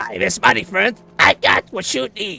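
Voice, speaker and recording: A man performs in a put-on character voice. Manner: sly, wheedling.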